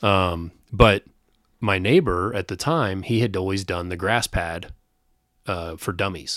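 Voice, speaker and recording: A man talks in a very deep, low pitch at a fairly slow pace. He leaves long, frequent pauses. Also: ordinary pitch variation, very clean recording, silent background. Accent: Midwestern American. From Kansas City, Missouri (Northland). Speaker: sales team leader. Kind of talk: casual chat.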